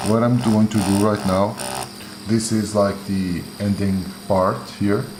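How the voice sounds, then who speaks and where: A fairly low-pitched man with a Portuguese accent, amid noticeable background noise and audible room echo. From Portugal, Porto. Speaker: tattoo artist. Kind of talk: live-stream tutorial with Q&A. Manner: halting, many fillers.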